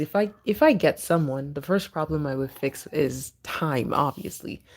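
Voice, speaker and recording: Over a silent background in a very clean recording, a soft-spoken woman with a very deep, low pitch talks fairly slowly with lively intonation. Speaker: livestream host. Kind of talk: casual livestream chat. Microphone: speaker moves close to mic after viewer can't hear.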